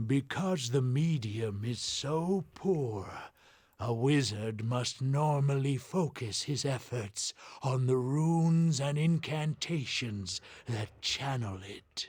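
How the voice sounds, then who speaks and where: Someone speaks in a put-on character voice at a very slow pace. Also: man, medium pitch for a man. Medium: video game. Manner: condescending, scholarly.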